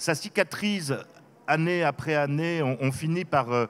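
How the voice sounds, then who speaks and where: Fairly high male voice, its pitch moving in an ordinary way. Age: 60s. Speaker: author. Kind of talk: interview. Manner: hesitant, many fillers.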